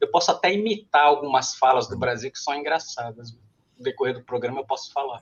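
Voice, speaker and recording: The speaker talks at a fairly quick clip, with ordinary pitch variation and big swings in loudness. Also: man, fairly high pitch for a man. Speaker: contest participant. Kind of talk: casual chat.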